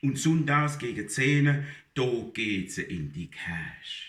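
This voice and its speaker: A man's fairly high voice has a bright, sharp tone, lively intonation and vocal fry. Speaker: dialect poetry reciter. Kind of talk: humorous dialect poetry reading.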